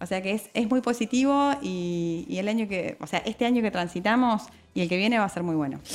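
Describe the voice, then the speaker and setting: Lively intonation runs through this woman's speech in an Argentine accent. Her pitch is medium and her pace fairly quick. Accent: Argentine Spanish (voseo). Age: 30s. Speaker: notary. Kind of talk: radio interview.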